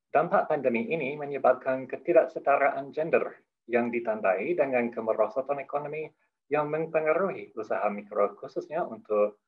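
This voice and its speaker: A man's fairly high-pitched voice with a non-native accent. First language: not Indonesian (speaking Indonesian). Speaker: head of a development program, opening speaker. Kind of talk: formal opening speech. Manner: halting, with self-corrections; formal.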